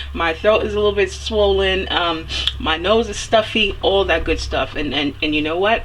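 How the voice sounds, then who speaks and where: With noticeable background noise around her, a woman keeps to a moderate pace. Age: 30s. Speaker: self-help mentor and vlogger. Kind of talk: motivational video monologue. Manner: casual, hesitant with fillers.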